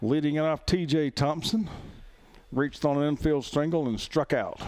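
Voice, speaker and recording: With an Alabama accent, a man speaks at a moderate pace in a fairly high pitch, his intonation fairly even and his loudness very even. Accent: Southern US (Alabama). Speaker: play-by-play announcer. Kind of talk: live commentary. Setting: outdoors. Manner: slurring words.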